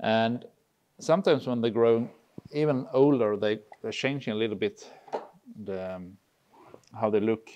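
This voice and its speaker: A man with a Swedish accent and a dark, mellow tone, at a moderate pace with long, frequent pauses and ordinary pitch variation. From Sweden. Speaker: gamekeeper; guest. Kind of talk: casual chat. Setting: hunting cabin. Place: home room.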